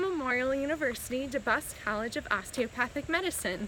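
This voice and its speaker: Against noticeable background noise, a woman speaks in a high pitch with lively intonation. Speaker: medical student and cancer patient vlogger. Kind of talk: casual vlog while walking. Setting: outdoors, hiking by a creek. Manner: halting, faltering speech; slow, with many pauses.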